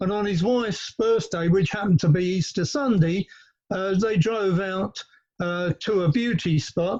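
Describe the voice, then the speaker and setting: A man with a high-pitched voice speaks at a moderate pace in a London accent. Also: ordinary pitch variation. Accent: southern English, London. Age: 70s. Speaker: panelist, land value tax campaigner. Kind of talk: panel talk. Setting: outdoors in garden, remote call. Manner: hesitant, many filler words.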